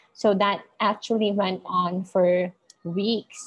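A very slow, somewhat breathy woman's voice with monotone, flat intonation. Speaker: parent. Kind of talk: casual chat.

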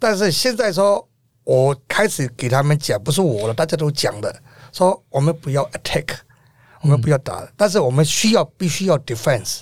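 Recorded very cleanly against a silent background, a man with a fairly high pitch talks at a moderate pace, his pitch swinging very widely. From Myanmar. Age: 50s. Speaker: protest organizer and renovation contractor. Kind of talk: interview.

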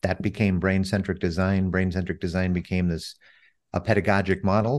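Against a quiet background, a man with an American accent speaks at a fairly quick pace in a very deep, low pitch. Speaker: author and CEO, former radio DJ. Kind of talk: casual interview conversation. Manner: fluent, with frequent fillers.

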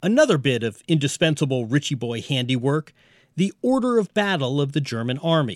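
In a normal speaking voice, a man talks at a fairly quick pace and fairly high pitch with lively intonation. The recording is very clean, with a silent background. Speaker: TV news correspondent. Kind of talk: scripted narration.

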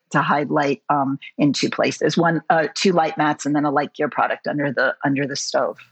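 Fairly quick speech in an American accent. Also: woman. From New York City, later Los Angeles. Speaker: cinematographer. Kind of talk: interview. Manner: animated, many fillers and restarts.

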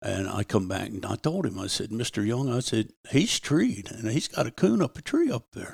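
A man with an American accent speaks with hardly any pauses in a somewhat breathy voice, recorded dry and close with no echo. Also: medium pitch for a man, lively intonation, moderate pace. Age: 70s. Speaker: retired coon hunter and former ranch cowboy. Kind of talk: casual interview storytelling.

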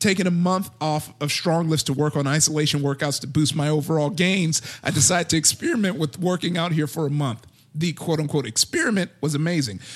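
This is an ordinary speaking voice, moving at a fairly quick pace with ordinary pitch variation. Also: man. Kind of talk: casual chat.

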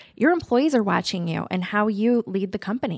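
A woman with an American accent and a normal speaking voice, medium in pitch, at a fairly quick pace. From Nebraska, Omaha. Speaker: lawyer and law firm owner. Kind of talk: interview.

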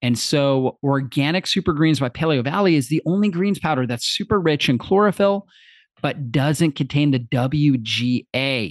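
A man with a normal speaking voice and a fairly high pitch speaks at a moderate pace, with ordinary pitch variation and very even loudness, in a dry, close sound with no echo over a quiet background. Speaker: podcast host. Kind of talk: interview questions with sponsor reads.

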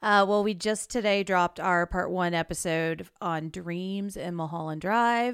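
A plain, everyday voice from a woman at medium pitch, with fairly even intonation and hardly any pauses, on a very clean recording with a silent background. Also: fairly slow pace. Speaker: podcast co-host. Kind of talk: casual chat.

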